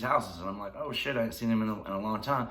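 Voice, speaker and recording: A bright, sharp tone in a Tennessee accent, with fairly even intonation and audible room echo. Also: man. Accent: Southern US (Tennessee). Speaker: YouTuber telling life stories. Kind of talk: casual storytelling vlog. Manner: fast; laughing while talking.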